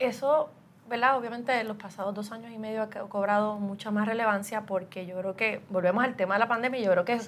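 A woman speaks at a fairly quick pace with a plain, everyday voice. Her pitch is fairly high and her intonation fairly even. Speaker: human resources director and podcast host. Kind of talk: interview.

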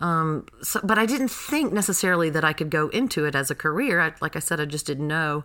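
A woman with an American accent talks at a fairly quick pace in a plain, everyday voice, with hardly any pauses. Her pitch is fairly low and her intonation lively. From North Carolina (Graham). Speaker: actress and theater education director. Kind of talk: casual interview.

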